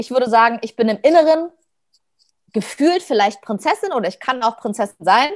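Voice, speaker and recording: A woman with a fairly high pitch talks at a fairly quick pace with lively intonation, broken by long, frequent pauses. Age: 30s. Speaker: dancer and performer. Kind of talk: casual chat.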